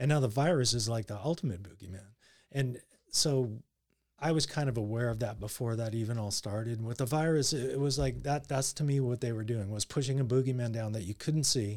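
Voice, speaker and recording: A man speaks in a plain, everyday voice at medium pitch, with ordinary pitch variation and a fairly quick pace. The recording is very clean, with a silent background. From Canada, Surrey near Vancouver. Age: 50s. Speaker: coworker guest. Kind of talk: casual chat.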